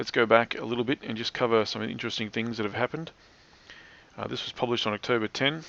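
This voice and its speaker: Mumbled speech from a man with an Australian accent, medium pitch, at a fairly quick pace. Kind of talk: commentary narration over screen recording. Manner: fast, slightly mumbled.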